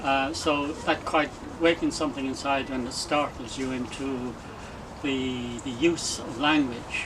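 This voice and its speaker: Against noticeable background noise and audible room echo, a man talks at a fairly slow pace with flat, monotone intonation. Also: fairly high pitch for a man. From Ireland, small fishing village. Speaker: retired hotel doorman and poet. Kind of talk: interview. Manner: hesitant, with many fillers.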